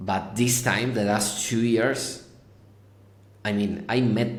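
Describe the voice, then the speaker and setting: A man speaks very slowly with a Spanish accent and monotone, flat intonation. Audible room echo surrounds his voice. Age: 30s. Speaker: tech company founder and CEO. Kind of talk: podcast interview. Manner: halting, repeats words.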